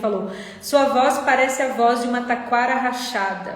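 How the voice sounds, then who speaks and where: There is noticeable background noise behind a woman's voice. The room echo is audible. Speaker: therapist. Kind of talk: live stream talk. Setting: live stream.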